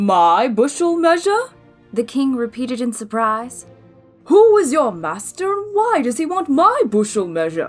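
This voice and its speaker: A woman puts on a character voice with a high pitch and very wide pitch swings, faint music in the background. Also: moderate pace. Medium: read story. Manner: pompous, flustered.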